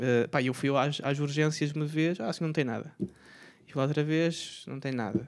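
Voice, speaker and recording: A man's unremarkable speaking voice, fairly high-pitched, with fairly even intonation, a moderate pace and hardly any pauses, on a very clean recording with a silent background. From Portugal, Aveiro. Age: 20s. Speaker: street vendor. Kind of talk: casual chat.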